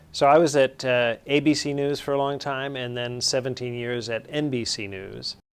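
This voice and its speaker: Moderately paced talk from a man with an ordinary speaking voice, medium pitch, fairly even intonation and hardly any pauses. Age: 60s. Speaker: university dean and former broadcast journalist. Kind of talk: interview. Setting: interview filmed by students.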